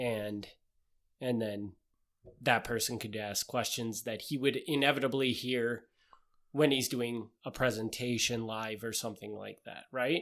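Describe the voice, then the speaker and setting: Speaking in a Wisconsin accent, a man talks at a medium pitch and a fairly slow pace with fairly even intonation. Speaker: podcast co-host. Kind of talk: casual chat.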